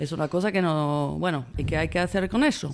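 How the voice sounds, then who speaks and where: A woman speaking at a fairly slow pace. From France. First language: French (speaking Spanish). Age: 50s. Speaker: film director. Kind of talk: interview. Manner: halting.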